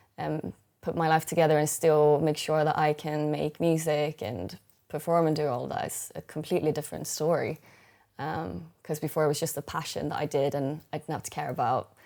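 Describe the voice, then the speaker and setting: With a Swedish accent, a woman speaks at a fairly quick pace in a very deep, low voice with vocal fry. Her intonation is fairly even, and the recording is very clean with a silent background. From Sweden. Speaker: singer-songwriter. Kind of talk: interview. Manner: halting.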